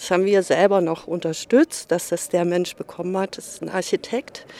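Fairly even intonation in a plain, everyday voice. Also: woman. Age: 60s. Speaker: local resident, retiree. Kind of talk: street interview.

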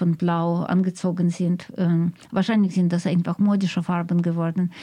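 A woman's fairly low voice, dark and mellow in tone, on a very clean recording with a silent background. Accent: Russian. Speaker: radio host, interviewer. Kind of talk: radio interview, bilingual German and Russian. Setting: radio studio.

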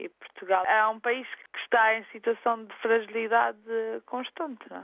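Speaking in an ordinary speaking voice, a woman keeps a moderate pace at a fairly high pitch with ordinary pitch variation. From Azores, São Miguel. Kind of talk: interview.

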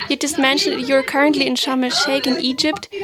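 Over noticeable background noise, a woman with a German accent speaks at a high pitch with ordinary pitch variation. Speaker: radio host. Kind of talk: radio interview.

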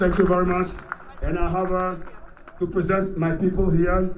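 Noticeable background noise and audible room echo fill this recording. The man speaking has a high pitch. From Ghana. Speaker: activist speaker. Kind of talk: rally speech.

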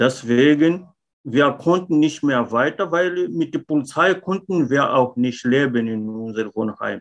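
A man's fairly high voice at a fairly slow pace, with lively intonation. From Mozambique. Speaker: former contract worker. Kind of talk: interview testimony. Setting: video call. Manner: halting, with fillers.

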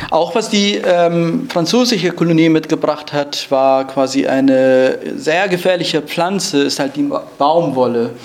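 A man speaks fairly slowly in a fairly high pitch, his loudness very even. Room echo is audible, along with noticeable background noise. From Rojava, northern Syria. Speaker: climate justice speaker, refugee. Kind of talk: lecture. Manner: halting, many fillers.

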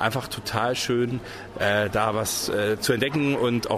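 There is noticeable background noise behind this man. His pitch varies in an ordinary way. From Swabia (Reutlingen), Germany. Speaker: soap opera actor. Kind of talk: interview.

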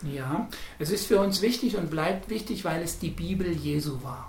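A man talks at a high pitch and a fairly slow pace, with ordinary pitch variation. Audible room echo and noticeable background noise are present. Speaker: Protestant pastor. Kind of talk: interview.

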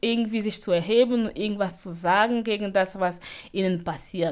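This woman's voice sits at a medium pitch, moves with ordinary pitch variation and keeps a fairly slow pace. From Cameroon. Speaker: refugee radio activist. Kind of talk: interview. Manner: halting.

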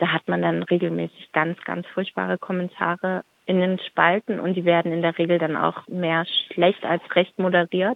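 The woman's fairly low voice stays in a monotone, flat intonation throughout. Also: moderate pace. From Stuttgart, Germany. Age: 30s. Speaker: activist. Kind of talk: interview.

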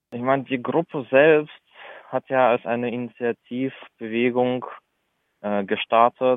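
Fairly slow delivery from a man at a medium pitch. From Russia, St. Petersburg; moved to Germany as a child. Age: 20s. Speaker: activist, university student. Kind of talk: interview. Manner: halting.

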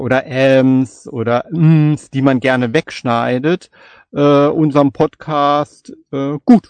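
In a dry, close recording with no echo, a man speaks at a very slow pace. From Palatinate, Germany (Kaiserslautern). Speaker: podcaster and novelist. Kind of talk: casual chat.

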